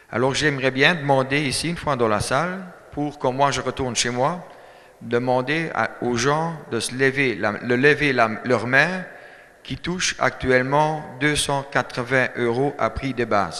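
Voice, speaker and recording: Talking at a fairly slow pace, a man with a German accent has a medium pitch and ordinary pitch variation. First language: German (speaking French). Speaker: dairy farmer, farmers' union speaker. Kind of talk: speech at a meeting. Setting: hall with audience. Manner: halting, many hesitations.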